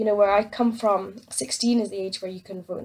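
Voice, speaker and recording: With an Aberdeen accent, a woman speaks at a fairly quick pace, her medium pitch kept in fairly even intonation. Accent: Scottish (Aberdeen). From Scotland, Aberdeen. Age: young. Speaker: listener leaving voicemail. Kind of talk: voicemail message.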